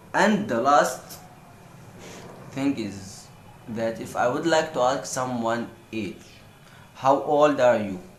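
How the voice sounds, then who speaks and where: In an Egyptian accent, a man with a medium pitch speaks at a very slow pace with lively intonation and long, frequent pauses, amid noticeable background noise and audible room echo. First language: Egyptian Arabic. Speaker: language tutor vlogger. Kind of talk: tutorial.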